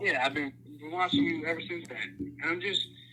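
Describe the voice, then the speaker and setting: Here is a man with an American accent and an unremarkable speaking voice. He talks at a moderate pace, fairly high in pitch, with lively intonation. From New York, Long Island. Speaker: caller, Marine. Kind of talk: casual chat.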